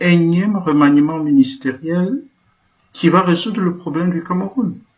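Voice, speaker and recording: The man speaks with a high pitch. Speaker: Jesuit priest. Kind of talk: political address. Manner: impassioned.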